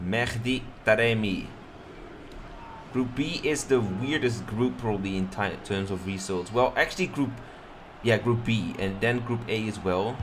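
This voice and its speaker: Audible room echo surrounds a man speaking at a medium pitch and a fairly slow pace. He leaves long, frequent pauses, with ordinary pitch variation. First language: Dutch. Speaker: streamer and game commentator. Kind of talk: live commentary. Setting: live stream.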